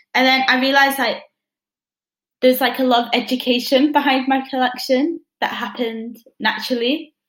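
Her pitch is high and her intonation monotone and flat. The woman keeps a moderate pace with long, frequent pauses. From northern England. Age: 20s. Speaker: fashion student. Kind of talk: interview.

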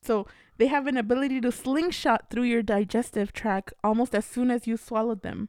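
A woman's fairly high voice at a fairly quick pace with fairly even intonation, in a dry, close sound with no echo and on a very clean recording with a silent background. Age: 30s. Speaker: podcast co-host. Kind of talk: casual chat.

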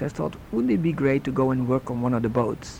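Over noticeable background noise, a man speaks with a Dutch accent. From Netherlands. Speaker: guest sharing faith story. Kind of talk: testimony.

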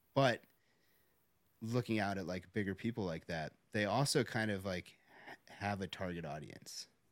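A man with an ordinary speaking voice and a fairly low pitch talks at a moderate pace with ordinary pitch variation. The recording is very clean, with a silent background. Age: 40s. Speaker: real estate investor and social media creator. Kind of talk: casual chat.

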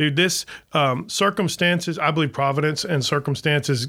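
A man with an American accent talks at a fairly quick pace in a bright, sharp tone with a fairly high pitch and ordinary pitch variation, on a very clean recording with a silent background. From US South, Florida Panhandle. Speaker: city manager. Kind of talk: casual chat.

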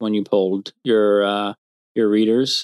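A man's fairly low voice at a moderate pace, dry and close with no echo, on a very clean recording with a silent background. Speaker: podcast guest interviewer, host's husband. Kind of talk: casual interview. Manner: mild-mannered.

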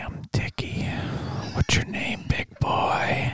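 In a put-on, raspy character voice, a man performs. His delivery is very slow. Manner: seductive, teasing.

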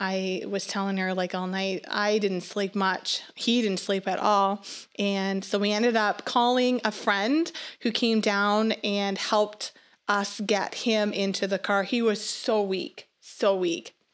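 In a very clean recording with a silent background, a woman speaks with a Nova Scotian accent. Her medium-pitched voice moves very slowly, with fairly even intonation. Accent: Atlantic Canadian (Nova Scotian). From Nova Scotia, Canada (small fishing town). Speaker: missionary. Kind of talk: testimony. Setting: studio.

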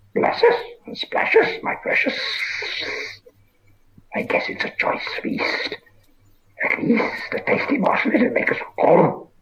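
A man whispers in a raspy, hissing put-on character voice. He goes at a fairly slow pace with long, frequent pauses. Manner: whispering and hissing.

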